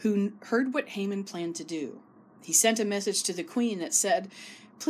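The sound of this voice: Pitch shifts in an ordinary way across this unforced reading voice.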